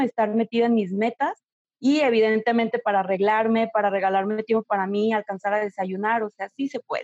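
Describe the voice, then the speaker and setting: A woman talks at a moderate pace in a plain, everyday voice, pitched fairly high. The sound is dry and close, with no echo. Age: 30s. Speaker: image consultant. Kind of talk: interview.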